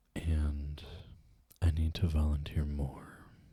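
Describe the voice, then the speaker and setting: Soft-spoken and somewhat breathy, the voice has a dark, mellow tone and flat monotone delivery at a very slow pace, with a dry, close sound and no echo. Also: man. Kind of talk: ASMR eating show, casual rambling to camera.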